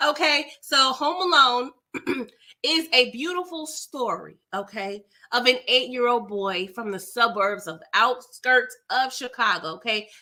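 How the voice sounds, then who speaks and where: A woman's high, raised, projected voice, animated in tone, at a fairly slow pace with very wide pitch swings. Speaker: film recap youtuber. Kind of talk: movie recap and review. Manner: animated, conversational.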